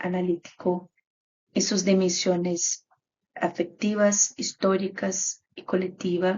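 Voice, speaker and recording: Very slow pace in a Brazilian accent, with monotone, flat intonation. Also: woman. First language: Portuguese (speaking Spanish). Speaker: graduate student researcher. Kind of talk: conference presentation. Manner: halting.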